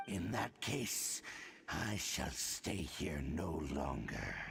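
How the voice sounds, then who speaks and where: A put-on character voice, growling and menacing, very deep and low, at a very slow pace over light background noise. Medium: video game. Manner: menacing, contemptuous.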